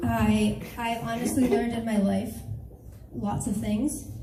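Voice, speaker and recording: Audible room echo and noticeable background noise accompany a woman talking. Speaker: stand-up comedian. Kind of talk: stand-up. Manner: animated.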